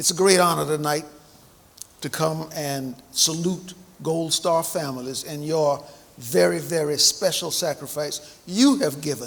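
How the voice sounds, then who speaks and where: A man with an American accent and a fairly high pitch, at a fairly slow pace with ordinary pitch variation, over noticeable background noise. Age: 70s. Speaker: navy veteran and banquet speaker. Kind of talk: speech at a memorial banquet. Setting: banquet hall with audience, microphone.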